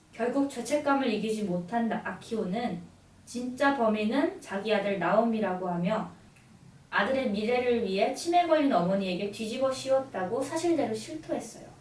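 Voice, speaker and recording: A woman talks with lively intonation and a fairly high pitch, keeping a moderate pace while noticeable background noise carries on. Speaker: radio announcer and book presenter. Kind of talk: radio book introduction, story summary narration.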